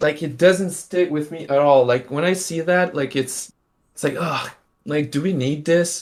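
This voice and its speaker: A man with a fairly high pitch, fairly even intonation and a moderate pace. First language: French. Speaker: NFT artist and stream host. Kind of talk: casual live-stream chat. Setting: live stream. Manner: halting, many fillers.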